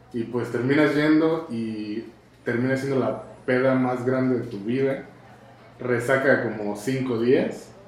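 In a Mexican accent, a man speaks at a very slow pace with fairly even intonation, amid noticeable background noise and audible room echo. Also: medium pitch for a man. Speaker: podcast host. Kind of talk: casual chat.

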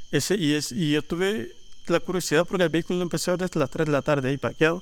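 A man with a Salvadoran accent talks at a very fast pace and fairly high pitch, with ordinary pitch variation. The recording is very clean, with a silent background. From El Salvador, Panchimalco. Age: 40s. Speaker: leather artisan. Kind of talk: casual chat.

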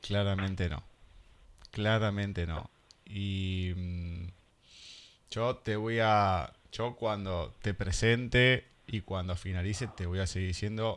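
On a very clean recording with a silent background, a man with a fairly low voice talks very slowly, pausing long and often, his intonation fairly even. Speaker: radio host. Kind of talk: radio interview. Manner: halting.

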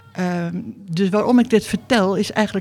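Her medium pitch and dark, mellow tone come at a fairly slow pace, and the woman keeps a fairly even intonation. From Netherlands. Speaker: sculptor. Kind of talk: interview. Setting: artists' residence.

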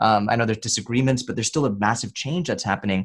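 An ordinary speaking voice with an American accent and ordinary pitch variation, captured in a very clean recording with a silent background. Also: man. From United States. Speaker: podcast host. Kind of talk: casual interview chat about faith.

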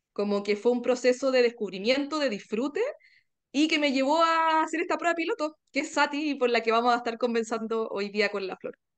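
Speaking at a fairly quick pace with lively intonation, the voice carries a Chilean accent over a quiet background. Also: woman, high pitch for a woman. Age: 40s. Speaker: wellbeing podcaster, workshop participant. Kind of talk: interview conversation.

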